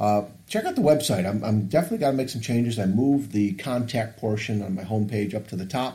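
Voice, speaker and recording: Speaking very fast with hardly any pauses, a man uses a medium pitch, a dark, mellow tone, a somewhat breathy quality and ordinary pitch variation. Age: 50s. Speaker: podcast host and coach. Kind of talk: casual chat.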